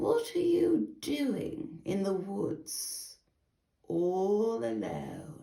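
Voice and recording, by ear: This is a put-on character voice with a growling edge. It moves at a very slow pace.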